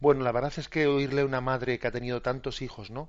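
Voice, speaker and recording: The speaker is a man. He talks with flat, monotone intonation. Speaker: radio catechism host, priest. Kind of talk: radio call-in commentary.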